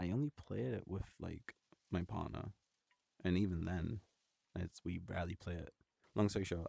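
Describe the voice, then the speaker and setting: Somewhat breathy and dark, mellow in tone, a man with a very deep, low pitch speaks at a moderate pace with ordinary pitch variation, the sound dry and close with no echo. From northeast of England. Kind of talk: ASMR casual talk to camera. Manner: soft-spoken.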